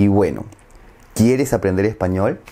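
With a Peruvian accent, a man speaks in a dark, mellow tone with lively intonation. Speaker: Spanish teacher. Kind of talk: language lesson narration. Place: home room. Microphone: lapel.

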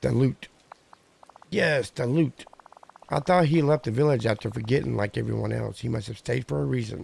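Using a raspy, put-on character voice at a medium pitch, a man speaks at a moderate pace with long, frequent pauses. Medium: game stream. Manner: muddled, genteel.

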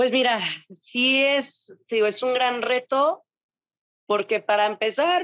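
A woman speaks at a very slow pace in a Mexican accent, with ordinary pitch variation. The background is quiet and the sound is dry, with no echo. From Mexico. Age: 20s. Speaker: bodybuilding athlete; interviewee. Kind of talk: interview. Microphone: video call.

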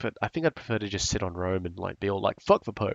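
Against a quiet background, a man's voice makes very wide pitch swings, with a dry, close sound and no echo. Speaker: gaming youtuber. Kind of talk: let's play commentary. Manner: casual.

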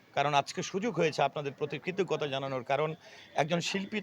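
Noticeable background noise surrounds a man's voice. His pitch is fairly high, with ordinary variation. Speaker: actor. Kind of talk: interview. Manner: halting.

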